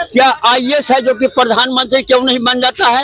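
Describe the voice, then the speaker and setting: A man speaks at an extremely high pitch. His voice is raised and projected. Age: 70s. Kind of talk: street interview answer. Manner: emphatic, argumentative.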